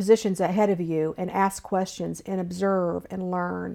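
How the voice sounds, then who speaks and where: This woman speaks at a medium pitch in an American accent. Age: 60s. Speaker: state government official. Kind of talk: interview.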